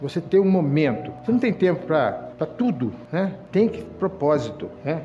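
Fairly high-pitched man with lively intonation at a fairly slow pace, amid noticeable background noise and audible room echo. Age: 60s. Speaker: lay preacher. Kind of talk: sermon. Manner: halting.

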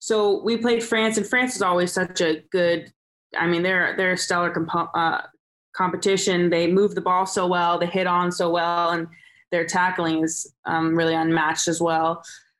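A Californian accent at a moderate pace, with fairly even intonation. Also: woman, fairly low pitch for a woman. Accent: Californian American. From Southern California. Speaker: rugby sevens player. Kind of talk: casual interview. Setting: remote call from Dubai.

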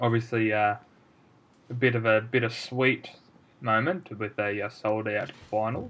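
An Australian-accented man at medium pitch, fairly even in intonation, at a fairly slow pace with long, frequent pauses. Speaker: podcast co-host, amateur footballer. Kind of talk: casual chat.

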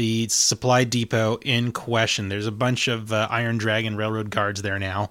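A man in a fairly low pitch at a moderate pace, an ordinary speaking voice on a very clean recording with a silent background. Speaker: game master running the tabletop roleplaying session. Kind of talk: tabletop roleplaying game session, narrating and hosting.

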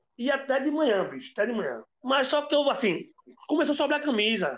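Here a man talks at a fairly quick pace. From Olinda, Pernambuco, Brazil. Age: 40s. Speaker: bar owner and percussionist. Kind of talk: casual interview.

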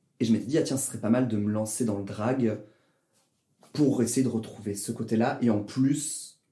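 A man's somewhat breathy, medium-pitched voice with a dark, mellow tone, fairly even intonation, a moderate pace and audible room echo. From southern France, Toulouse. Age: 20s. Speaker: drag performer and engineer. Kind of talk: casual interview.

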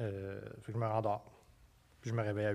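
Monotone, flat intonation marks this man's fairly low voice. The background is silent and the recording very clean. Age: 30s. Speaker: novelist. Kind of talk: casual chat.

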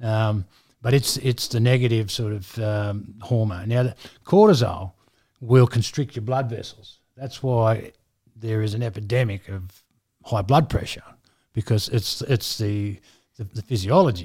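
On a very clean recording with a silent background, a man speaks at medium pitch and a fairly slow pace in a somewhat breathy voice with a dark, mellow tone. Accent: Australian. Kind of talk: casual chat. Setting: studio.

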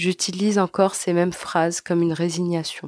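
A woman's fairly low, monotone voice at a moderate pace, flat in intonation, with a dry, close sound, no echo, and a very clean recording against a silent background. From Algeria (Algiers). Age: 20s. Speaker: emigrant sharing experience. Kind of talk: scripted narration.

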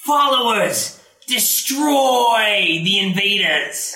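In a put-on character voice, someone speaks at a fairly high pitch and a very slow pace. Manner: commanding.

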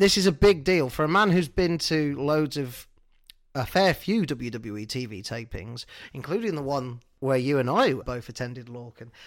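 A man with a British accent speaks at a fairly slow pace. The recording is very clean, with a silent background. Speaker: wrestling podcast co-host. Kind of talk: casual chat.

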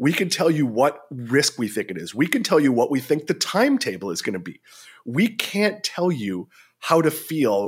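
The recording is very clean, with a silent background. A man with an ordinary speaking voice and a fairly high pitch uses lively intonation. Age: 40s. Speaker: investing journalist and analyst. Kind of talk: interview.

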